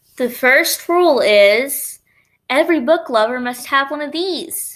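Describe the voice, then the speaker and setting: A woman's high-pitched, put-on character voice at a fairly slow pace, in a very clean recording with a silent background. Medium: read story.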